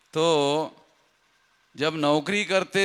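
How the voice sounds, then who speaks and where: In a very clean recording with a silent background, a man talks in a bright, sharp tone with fairly even intonation. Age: 60s. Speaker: political activist leader. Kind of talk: public rally speech.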